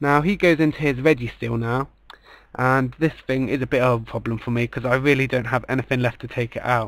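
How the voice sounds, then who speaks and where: Fairly even in intonation, a man talks at a fairly quick pace and a medium pitch. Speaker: gaming commentator. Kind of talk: video game battle commentary. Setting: home recording, poor audio.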